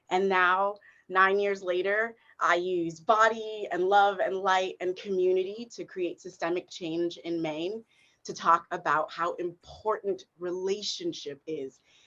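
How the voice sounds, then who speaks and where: A woman with a northeastern US accent speaks at a fairly slow pace at a medium pitch, her tone bright and sharp and her intonation fairly even. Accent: American English (northeastern US). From South Africa. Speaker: performance artist and equity consultant. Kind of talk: panel discussion.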